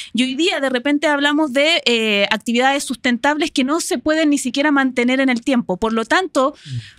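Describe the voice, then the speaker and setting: A woman with a high pitch at a moderate pace, hardly any pauses, a dry sound with no echo and a quiet background. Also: ordinary pitch variation. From Chile. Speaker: marketing professional and university lecturer; university lecturer. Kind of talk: interview. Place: studio. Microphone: studio mic.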